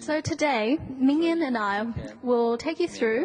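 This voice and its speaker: Noticeable background noise accompanies a woman. She speaks at a high pitch and a fairly slow pace. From New Zealand. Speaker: conference presenter. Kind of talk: scripted presentation. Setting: conference hall, seated with audience.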